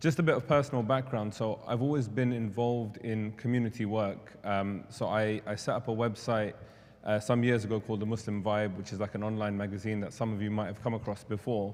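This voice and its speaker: Speaking in a London accent, a man has a fairly low pitch. He goes at a fairly quick pace with fairly even intonation. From London, England. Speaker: charity representative. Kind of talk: presentation.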